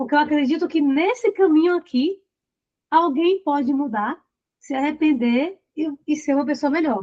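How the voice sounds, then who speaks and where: Her voice is high in pitch, with ordinary pitch variation, as the woman talks at a moderate pace. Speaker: relationship coach. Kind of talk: live online group session.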